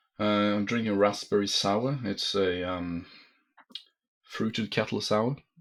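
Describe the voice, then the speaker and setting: Fairly slow, fairly even speech with a non-native accent, long, frequent pauses, and a very clean recording with a silent background. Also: man, fairly low pitch for a man. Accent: non-native, foreign accent audible. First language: Norwegian. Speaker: tabletop wargame tournament player. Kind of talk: casual chat. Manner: halting, many fillers.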